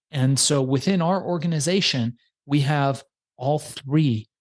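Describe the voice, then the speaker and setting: Over a quiet background, a man talks at a fairly slow pace in a somewhat breathy voice. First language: not English. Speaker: podcast agency founder. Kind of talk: podcast interview.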